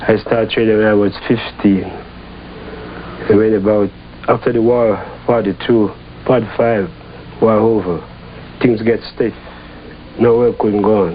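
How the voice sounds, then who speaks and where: A man's fairly low, flat monotone voice at a fairly slow pace, broken by long, frequent pauses, over noticeable background noise. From Jamaica. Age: 60s. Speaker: Rastafarian settler. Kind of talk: interview testimony.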